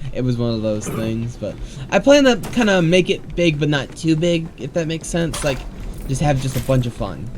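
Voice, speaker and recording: A man talks with lively intonation while noticeable noise sounds in the background. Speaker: gaming streamer. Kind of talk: casual chat. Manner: halting.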